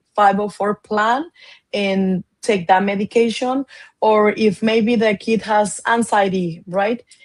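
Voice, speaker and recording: A woman speaks with a Spanish accent. Her pitch is medium and her intonation fairly even. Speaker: education advocate. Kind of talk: interview. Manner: halting.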